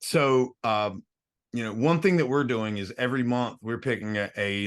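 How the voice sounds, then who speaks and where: The speech shows ordinary pitch variation over a quiet background. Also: man. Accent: American. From US South, North Carolina (Statesville). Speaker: music venue founder. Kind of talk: podcast interview. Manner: halting, many repetitions.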